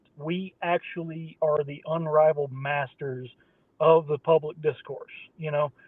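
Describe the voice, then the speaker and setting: Here is a man with an Appalachian accent. His pitch sits fairly high. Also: fairly slow pace. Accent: Appalachian Southern American. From US South, southwest Virginia. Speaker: podcast host. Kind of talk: casual chat. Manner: animated.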